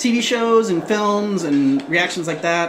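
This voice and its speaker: A woman of medium pitch speaks with an American accent and very wide pitch swings. Noticeable background noise and audible room echo fill the recording. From US Midwest. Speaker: gaming livestreamer. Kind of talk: casual livestream chat.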